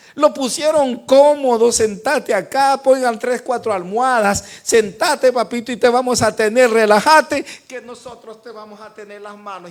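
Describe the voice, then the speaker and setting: At a moderate pace, a man with an extremely high pitch speaks with ordinary pitch variation. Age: 60s. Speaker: pastor. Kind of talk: sermon. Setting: church. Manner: animated.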